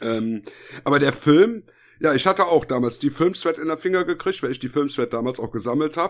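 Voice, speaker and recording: A man talks in a normal speaking voice, fairly high in pitch, with lively intonation and a fairly quick pace. The recording is very clean, with a silent background. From Germany, Düsseldorf. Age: 50s. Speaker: podcast co-host. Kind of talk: casual chat.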